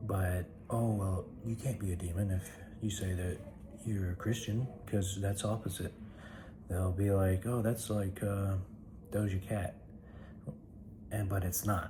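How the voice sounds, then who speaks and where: A man speaks quietly at a fairly low pitch and a fairly slow pace, with monotone, flat intonation. Long, frequent pauses break up his speech, and background noise is noticeable. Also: very even loudness. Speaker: comedy skit youtuber. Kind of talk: casual vlog talk to camera. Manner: quiet, holding voice down; halting, many fillers.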